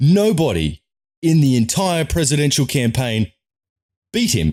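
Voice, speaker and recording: A man with a slight Australian accent speaks in a fairly high, somewhat breathy voice with an animated tone and lively intonation, in a very clean recording with a silent background. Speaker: political commentator, vlogger. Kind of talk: opinion rant to camera. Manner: emphatic, animated.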